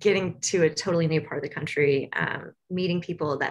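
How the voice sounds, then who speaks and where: A woman with an American accent speaks at a moderate pace and medium pitch in a bright, sharp tone. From US South, Tennessee. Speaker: university social worker. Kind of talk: casual interview chat.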